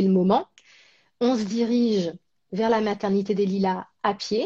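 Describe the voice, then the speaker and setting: A quiet background behind a woman at a very slow pace. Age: 30s. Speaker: actress and presenter. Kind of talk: casual interview chat. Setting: live stream.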